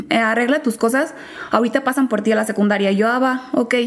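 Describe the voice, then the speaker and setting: A woman at a very fast pace, fairly high in pitch, with ordinary pitch variation and noticeable background noise. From Mexico, small town in Guanajuato. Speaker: law graduate. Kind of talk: interview chat.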